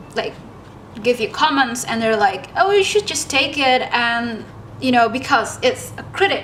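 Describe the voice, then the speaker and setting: Over noticeable background noise, a woman speaks at a fairly slow pace, her high-pitched voice full of lively intonation. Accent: non-native. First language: not English. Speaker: artist YouTuber. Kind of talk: casual chat while painting. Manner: relaxed, hesitant with fillers.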